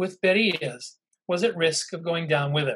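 The background stays quiet. A man talks at a moderate pace, his pitch varying in an ordinary way. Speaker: intelligence historian and professor; professor. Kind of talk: lecture. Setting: video call. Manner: halting, frequent fillers.

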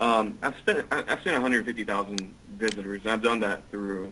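A man uses an unremarkable speaking voice with a fairly low pitch. His intonation is fairly even and his pace moderate. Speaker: online marketer. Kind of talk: interview. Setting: online call.

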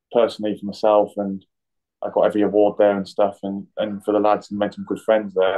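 A man talks at a very fast pace with an East Midlands accent. His pitch sits fairly low. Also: quiet background. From Nottingham, England; England. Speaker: professional footballer (goalkeeper); guest. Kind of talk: interview. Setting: hotel room, remote call. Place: home room. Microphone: video call.

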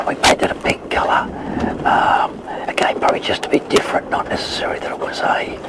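Loud noise fills the background while a man speaks. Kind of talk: interview answer. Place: boat.

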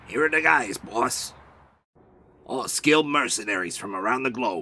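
His pitch is medium. This man speaks with lively intonation. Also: moderate pace. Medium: fan dub. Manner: nervous, hurried.

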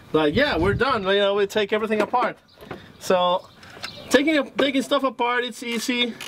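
This is a man speaking. Noticeable background noise runs underneath. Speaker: car builder host. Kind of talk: casual vlog chat. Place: garage.

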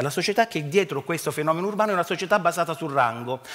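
Against a quiet background, a man talks very fast in a high voice. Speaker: archaeology professor. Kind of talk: lecture. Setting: stage with audience. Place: stage. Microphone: headset.

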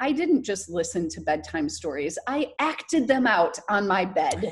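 A somewhat breathy voice with very wide pitch swings at a fairly slow pace. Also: woman. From US Midwest, rural southern Michigan. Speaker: actress and burlesque performer. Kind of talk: interview.

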